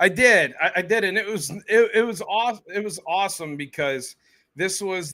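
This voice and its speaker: In a very clean recording with a silent background, a man with an American accent uses a raised, projected voice, high-pitched with a bright, sharp tone, ordinary pitch variation and a moderate pace. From central Pennsylvania. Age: 30s. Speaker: podcaster. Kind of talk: casual chat. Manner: talkative.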